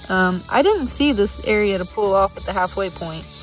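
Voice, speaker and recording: The sound is dry with no echo, though noticeable background noise is present. The speech moves at a moderate pace. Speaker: kayaking trip vlogger. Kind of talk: casual vlog chat. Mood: relaxed, recalling the trip. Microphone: phone near.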